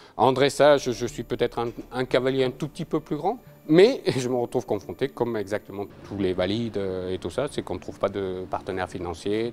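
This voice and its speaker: Music plays behind a man with medium pitch. He speaks at a fairly quick pace with lively intonation. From France (adopted from Venezuela at age 5). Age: 50s. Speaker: paralympic equestrian rider. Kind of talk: interview testimony.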